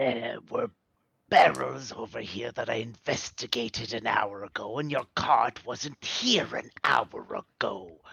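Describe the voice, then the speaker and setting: Using a put-on character voice, a man speaks at medium pitch. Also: fairly slow pace. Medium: actual play. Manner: wheedling, smug.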